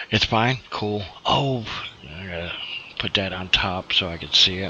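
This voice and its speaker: A quiet man's voice, very deep and low, at a fairly slow pace over noticeable background noise. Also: ordinary pitch variation, big swings in loudness. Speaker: gaming streamer. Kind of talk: casual live stream chat. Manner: quiet, keeping voice down. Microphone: hard to hear, too quiet.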